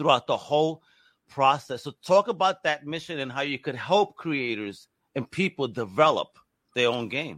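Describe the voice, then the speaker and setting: A man talks at a moderate pace and fairly high pitch with lively intonation. The sound is dry and close, with no echo. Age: 40s. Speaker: podcast host. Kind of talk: interview. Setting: video call. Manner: animated.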